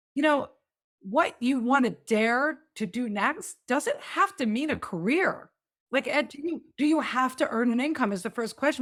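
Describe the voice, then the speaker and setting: In a very clean recording with a silent background, a woman talks with lively intonation at a high pitch. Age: 50s. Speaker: podcast host and midlife coach. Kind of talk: interview. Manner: animated.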